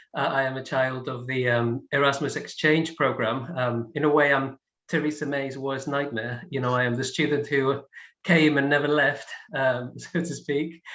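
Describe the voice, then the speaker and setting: This man speaks in a Spanish accent with a fairly high pitch. His tone is bright and sharp, and his intonation stays fairly even. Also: moderate pace. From Spain. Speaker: film scholar, panellist. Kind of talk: panel discussion. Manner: hesitant, many fillers.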